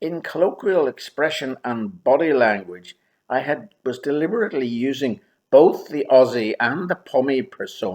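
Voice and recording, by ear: Against a quiet background, the speaker is reading aloud in a natural voice with lively intonation.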